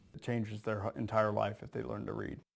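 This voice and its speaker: The speaker is a man. His pitch is fairly low, and the background is quiet. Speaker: Marine veteran and student teacher. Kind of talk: interview answer. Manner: soft-spoken.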